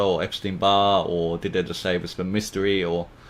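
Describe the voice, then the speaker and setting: Noticeable background noise surrounds the speaker. A man talks at a fairly quick pace. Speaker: podcast interviewer. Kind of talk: interview questions.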